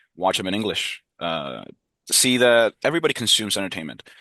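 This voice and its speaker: The voice has a bright, sharp tone and speaks in a Spanish accent. Its pace is moderate, with a quiet background behind it. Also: man. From Peru. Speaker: university student. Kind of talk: interview.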